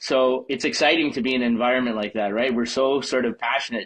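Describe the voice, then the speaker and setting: The pace is very fast. A man speaks with a medium pitch. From Quebec. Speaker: hockey fan and memorabilia collector. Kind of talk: casual chat.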